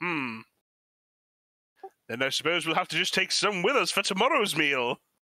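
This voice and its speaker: A man does a put-on character voice pitched high. He keeps a moderate pace. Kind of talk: mock-posh adventurer speech. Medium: actual play. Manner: hearty, formal phrasing.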